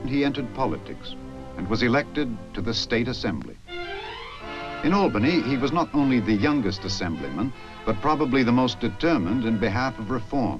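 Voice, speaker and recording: A man speaks at a fairly quick pace with lively intonation. Music plays in the background. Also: medium pitch for a man. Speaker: narrator. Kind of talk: documentary narration.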